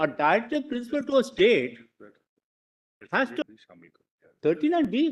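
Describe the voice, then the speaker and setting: This voice is loud and keeps a moderate pace. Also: man. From India, Bombay. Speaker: lawyer. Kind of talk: courtroom argument. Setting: courtroom.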